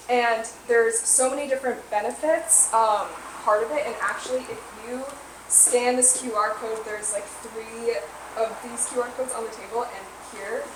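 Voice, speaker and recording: Audible room echo and noticeable background noise accompany a woman whose fairly high voice keeps a fairly even intonation. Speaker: business co-presenter. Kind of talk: presentation to a small audience. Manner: fast.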